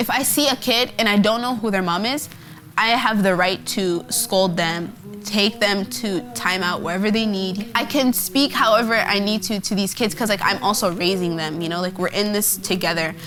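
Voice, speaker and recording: Over noticeable background noise, a woman with an American accent speaks at a moderate pace with ordinary pitch variation. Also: medium pitch for a woman. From Portland, Oregon (US Pacific Northwest). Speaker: college student. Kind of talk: documentary interview.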